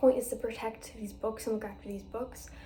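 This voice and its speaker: A woman talks at a moderate pace while noticeable background noise can be heard. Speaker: book vlogger. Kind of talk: casual book review vlog.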